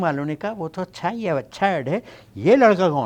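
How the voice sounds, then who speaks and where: A man with a high voice speaks at a moderate pace. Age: 60s. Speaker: actor. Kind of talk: interview. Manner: hesitant, code-switching.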